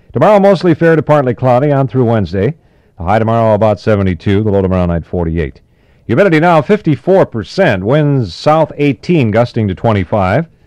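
Very wide pitch swings mark this very fast speech, recorded dry with no echo against a quiet background. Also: man. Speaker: radio DJ co-host, afternoon drive time. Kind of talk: radio weather report read. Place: studio. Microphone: old recording.

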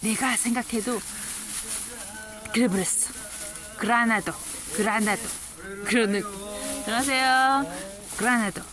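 Long, frequent pauses break up this fairly slow speech, heard over noticeable background noise. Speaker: market shop owner. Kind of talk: casual talk to camera.

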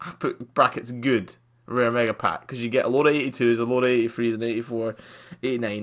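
Against a quiet background, a man talks in a bright, sharp tone. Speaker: gaming YouTuber. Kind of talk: gameplay commentary. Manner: loud; casual, chatty. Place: home room.

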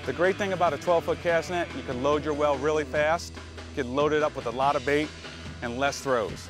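Over clear music in the background, a man speaks at a fairly high pitch in a dry sound with no echo. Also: ordinary pitch variation, fairly quick pace. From Florida, USA. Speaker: fishing guide. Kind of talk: instructional demonstration to camera. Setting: outdoors on a boat. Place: boat.

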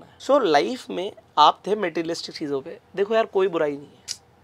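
A man speaks at a fairly quick pace in a high voice. His intonation is lively. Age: 20s. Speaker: business coach; podcast guest, business coach. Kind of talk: interview conversation. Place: studio. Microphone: lapel.

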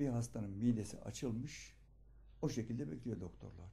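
A man talks at a moderate pace with vocal fry. His tone is dark and mellow. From Turkey, Aegean (Ödemiş, İzmir); Turkey. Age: 70s. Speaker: local journalist, retired teacher. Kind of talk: documentary interview. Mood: earnest storytelling. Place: home room.

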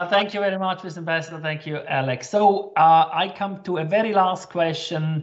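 With a German accent, the speaker keeps a moderate pace and leaves hardly any pauses. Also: man, high pitch for a man. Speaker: chamber of commerce director. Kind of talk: webinar moderation. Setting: video call.

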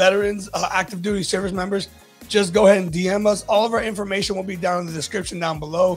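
Over faint background music, a man with a high pitch speaks at a very fast pace with fairly even intonation. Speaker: podcast host. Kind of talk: interview questions and promo. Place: studio. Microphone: studio mic.

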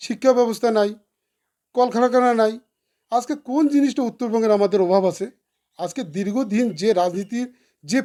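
A dark, mellow tone on a very clean recording with a silent background. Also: man. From Cooch Behar, North Bengal, India. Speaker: independent election candidate. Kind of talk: interview.

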